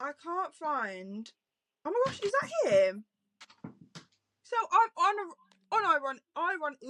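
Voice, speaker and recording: A woman with a British accent projects a raised voice at an extremely high pitch, bright and sharp, with very wide pitch swings. The pace is very slow, with long, frequent pauses, in a dry, close sound with no echo. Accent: British regional accent, self-noted. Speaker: book podcast host. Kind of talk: casual chat. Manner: animated.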